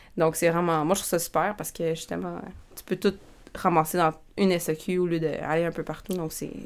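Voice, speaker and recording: Her fairly low voice stays monotone and flat while this woman's loudness swings widely. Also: moderate pace. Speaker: wine podcast host. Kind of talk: quiz reading; casual chat.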